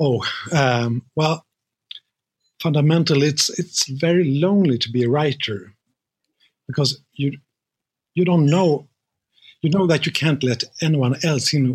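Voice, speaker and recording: A man speaks at a fairly slow pace with ordinary pitch variation and very even loudness. His voice is somewhat breathy, broken by long, frequent pauses. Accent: Swedish. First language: Swedish. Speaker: crime novelist. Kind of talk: interview. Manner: hesitant.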